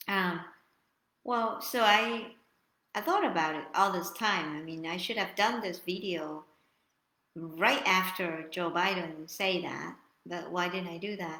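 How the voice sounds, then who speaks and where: A woman with a non-native accent speaks at a fairly slow pace with long, frequent pauses, her bright, sharp tone at medium pitch with ordinary variation. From Vietnam. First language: Vietnamese. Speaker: YouTuber. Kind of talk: live stream monologue. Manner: halting.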